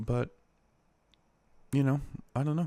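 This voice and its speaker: Quietly, a man speaks with ordinary pitch variation. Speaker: podcast host. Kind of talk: solo casual podcast talk. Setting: at home late at night. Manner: quiet, low energy.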